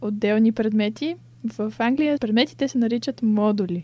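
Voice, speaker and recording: Somewhat breathy speech at a moderate pace, dark and mellow in tone. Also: woman. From Bulgaria, Sofia. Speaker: illustration student. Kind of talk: interview.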